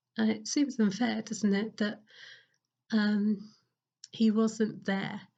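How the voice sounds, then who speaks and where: Very slow and somewhat breathy, a woman speaks with monotone, flat intonation. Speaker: parish priest. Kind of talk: sermon. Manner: hesitant, many fillers.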